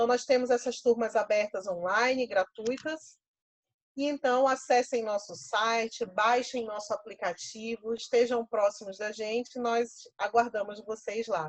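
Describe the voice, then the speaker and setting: In a plain, everyday voice, a woman with a fairly high pitch speaks at a fairly slow pace with ordinary pitch variation. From Pernambuco, Brazil. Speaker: professor and workshop leader. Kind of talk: online workshop.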